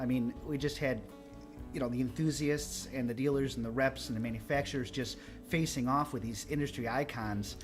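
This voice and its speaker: Music plays in the background. A man talks at a fairly quick pace with fairly even intonation. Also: medium pitch for a man. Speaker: home theater cruise host. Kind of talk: casual commentary conversation.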